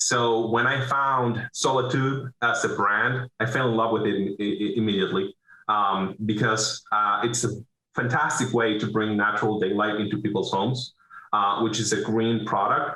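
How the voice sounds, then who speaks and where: A man speaks with a Venezuelan accent and a bright, sharp tone. His intonation stays fairly even. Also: medium pitch for a man, moderate pace, very even loudness. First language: Spanish. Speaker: business owner, roofing contractor. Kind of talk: interview. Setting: video call.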